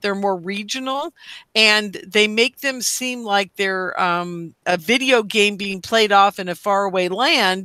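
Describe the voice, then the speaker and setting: With an American accent, a woman talks at a fairly slow pace and medium pitch in a bright, sharp tone, her pitch varying in an ordinary way, in a very clean recording with a silent background. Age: 60s. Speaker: radio host. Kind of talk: casual chat.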